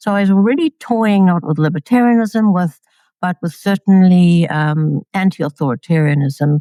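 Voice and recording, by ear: At a moderate pace, a woman speaks with a fairly low pitch, a dark, mellow tone and ordinary pitch variation, in a dry, close sound with no echo.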